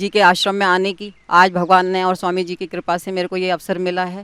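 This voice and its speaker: A woman talks at a moderate speed, and the sound is dry and close with no echo. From Delhi, India. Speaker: yoga teacher, testimonial speaker. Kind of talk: testimony.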